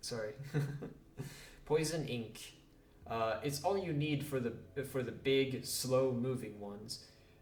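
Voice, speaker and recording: Somewhat breathy and fairly slow, a man speaks with a non-native accent at a medium pitch. His intonation is fairly even, and audible room echo surrounds him. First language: not English. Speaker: gaming youtuber. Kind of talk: reading game dialogue aloud. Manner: halting; casual.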